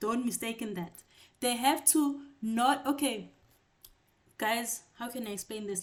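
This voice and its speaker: Speaking at a moderate pace, a woman uses a normal speaking voice with ordinary pitch variation. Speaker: tutor. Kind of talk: online class lecture.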